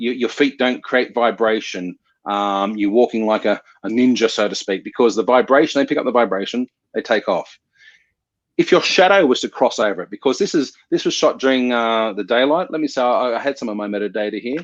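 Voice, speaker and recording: A man talks at a fairly quick pace with a normal speaking voice. His pitch is medium, with ordinary pitch variation. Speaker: photographer. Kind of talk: online workshop presentation.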